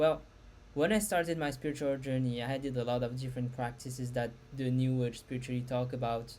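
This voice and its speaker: A woman's very deep, low voice with a non-native accent, at a fairly quick pace. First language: not English. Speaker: spiritual content creator. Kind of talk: casual talk to camera. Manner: halting.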